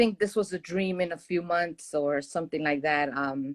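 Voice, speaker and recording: In a very clean recording with a silent background, a woman speaks at a fairly low pitch with ordinary pitch variation and a dry, close sound with no echo. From Puerto Rico. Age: 70s. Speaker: retiree. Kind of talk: casual chat.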